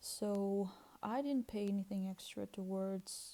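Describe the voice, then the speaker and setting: A woman's medium-pitched voice, dark and mellow in tone, with a Russian accent. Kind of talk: casual talk to camera. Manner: hesitant, with fillers.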